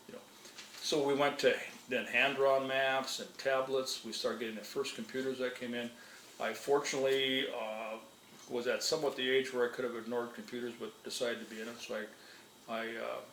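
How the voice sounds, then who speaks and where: Speaking at a fairly quick pace in an American accent, a man with a medium pitch keeps his intonation fairly even amid audible room echo and noticeable background noise. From northern Minnesota. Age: 60s. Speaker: retired wildlife manager. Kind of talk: interview. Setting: at his home. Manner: conversational, with frequent fillers.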